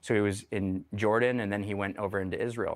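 A man speaks at a fairly quick pace with an American accent, in a normal speaking voice. His pitch is fairly low and his intonation fairly even. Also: very clean recording, silent background. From Denver, Colorado. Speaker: army veteran. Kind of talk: interview testimony.

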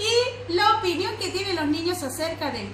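Speech comes at a fairly slow pace with audible room echo and light background noise. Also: woman. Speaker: preschool teacher. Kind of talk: instructions to children and parents. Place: classroom. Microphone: phone near.

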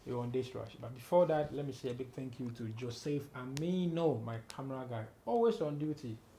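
Over light background noise, a man with a dark, mellow, somewhat breathy tone talks at a fairly quick pace with hardly any pauses. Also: ordinary pitch variation. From Ghana. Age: 40s. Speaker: entertainment interviewer. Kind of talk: casual interview. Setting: on set with camera crew. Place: home room. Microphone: lapel.

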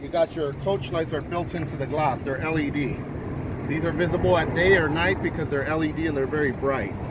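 Amid loud background noise, a man talks at a moderate pace, the sound dry with no echo. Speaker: limousine salesman. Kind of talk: product walkthrough explanation. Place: street. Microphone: phone near.

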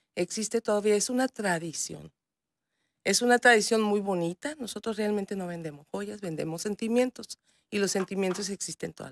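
A woman speaks at a moderate pace with medium pitch and ordinary pitch variation. Her loudness swings widely, and the sound is dry with no echo. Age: 40s. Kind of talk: TV news interview. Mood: warm, proud. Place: studio. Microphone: studio mic.

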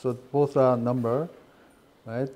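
A man's dark, mellow voice in a Korean accent. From South Korea. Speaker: professor. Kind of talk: lecture. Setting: classroom. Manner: slow; halting. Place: classroom.

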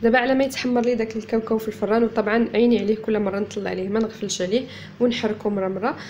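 Woman talking at a very fast pace with hardly any pauses, monotone, flat intonation and light background noise. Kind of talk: tutorial. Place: home room.

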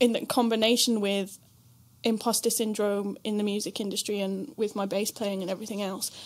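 A woman talks at a fairly quick pace. Her medium-pitched voice has monotone, flat intonation. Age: 20s. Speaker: podcast host and bass player; podcast host. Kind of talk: casual chat; scripted introduction. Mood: reflective, candid. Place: home room.

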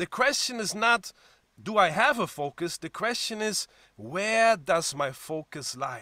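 A man's raised, projected, high voice with a German accent, bright and sharp in tone, swinging very widely in pitch at a fairly slow pace, recorded dry with no echo against a quiet background. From Germany. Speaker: pastor. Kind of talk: sermon. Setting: church. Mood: warm, encouraging. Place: home room. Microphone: webcam.

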